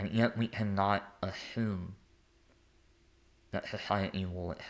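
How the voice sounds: A man speaks at a low pitch with fairly even intonation.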